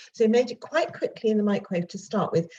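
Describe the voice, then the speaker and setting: A somewhat breathy woman's voice with a British accent and lively intonation. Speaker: home cooking video presenter. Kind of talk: cooking tutorial. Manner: fast; chatty.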